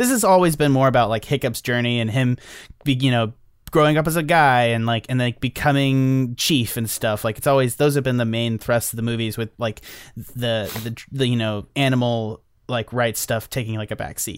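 Recorded very cleanly against a silent background, a man with a normal speaking voice talks at a moderate pace and medium pitch with ordinary pitch variation. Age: 20s. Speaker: movie podcast co-host. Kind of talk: casual chat.

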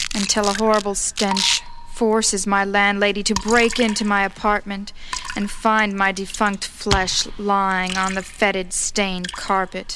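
Over noticeable background noise, a woman with a medium pitch speaks at a fairly slow pace in a monotone, flat intonation, keeping her loudness very even. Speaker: co-host and co-producer of poetry show. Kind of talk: casual co-hosting banter, intro.

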